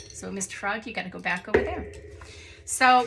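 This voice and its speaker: A woman in an animated tone, with noticeable background noise. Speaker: artist and art book reviewer. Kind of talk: casual video review of art books.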